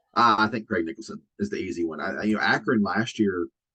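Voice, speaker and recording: A man with a Southern US accent and vocal fry, at a very fast pace with ordinary pitch variation. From US South. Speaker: college softball analyst. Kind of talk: casual sports chat.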